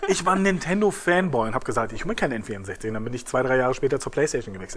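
The speech comes at a very fast pace with hardly any pauses and very wide pitch swings. Noticeable background noise runs underneath. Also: man. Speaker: podcast host and wrestler. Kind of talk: casual chat. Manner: animated.

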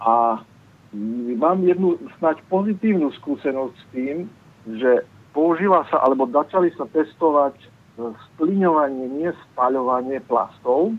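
A man with a Slovak accent talks very slowly, his pitch fairly high and his intonation lively. His loudness swings widely. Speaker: caller. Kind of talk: phone-in question. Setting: phone call.

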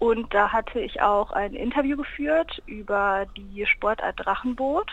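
Using a plain, everyday voice, a woman speaks at a fairly high pitch with ordinary pitch variation and a fairly slow pace. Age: 20s. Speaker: university student and campus radio member. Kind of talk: casual interview. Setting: phone call.

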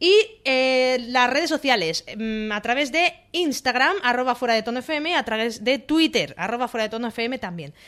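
A woman with a high pitch talks at a moderate pace. Her intonation is lively. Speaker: radio co-host. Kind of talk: casual chat. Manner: holding back volume to spare voice.

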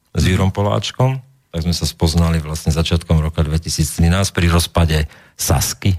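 At a fairly slow pace, a man with a very deep, low pitch speaks with ordinary pitch variation. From Slovakia, Trenčín. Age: 40s. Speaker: political blogger and commentator. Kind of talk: interview. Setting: studio. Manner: emotional.

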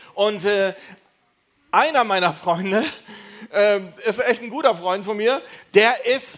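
A man with a high pitch speaks in an animated tone with lively intonation. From Düsseldorf area, Germany. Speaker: youth preacher. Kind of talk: evangelistic talk. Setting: stage with audience.

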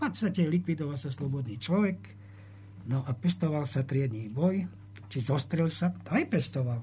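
Somewhat breathy and fairly high-pitched, a man talks at a moderate pace. His pitch swings very widely. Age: 70s. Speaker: historian. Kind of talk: interview.

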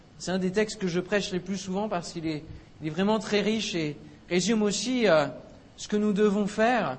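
A man talks with a high pitch, keeping a moderate pace and ordinary pitch variation. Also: long, frequent pauses. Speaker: preacher. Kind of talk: sermon. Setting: church. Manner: animated, exhorting; rhetorical questions, call and response with congregation.

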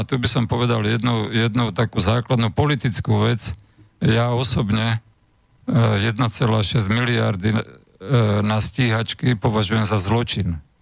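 Fairly even intonation, vocal fry and a fairly slow pace. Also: man. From Slovakia. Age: 60s. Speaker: former agriculture minister. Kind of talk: radio interview. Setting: studio.

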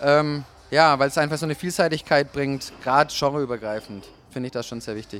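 Pitched fairly high, a man talks at a fairly quick pace with ordinary pitch variation. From Germany, Nuremberg. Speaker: DJ and label owner. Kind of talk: interview. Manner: hesitant, many filler sounds.

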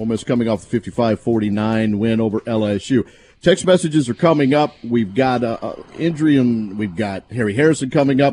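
Upbeat in tone, a man speaks with a dark, mellow voice at medium pitch and ordinary pitch variation. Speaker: radio host. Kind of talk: radio sports talk show. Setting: studio. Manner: upbeat radio banter, quick and conversational.

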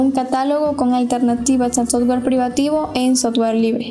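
Over noticeable background noise, a woman with a high pitch talks at a fairly quick pace in a monotone, flat intonation. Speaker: engineering student and free software activist. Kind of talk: interview.

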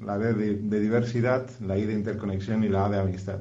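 Here a man talks at a moderate pace and a medium pitch in a dark, mellow tone. His intonation stays monotone and flat. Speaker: musician. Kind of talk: interview. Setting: recorded remotely via WhatsApp.

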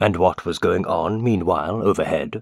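A put-on character voice from a man, fairly low in pitch. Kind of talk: courtroom interrogation. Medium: read story. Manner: terse, probing.

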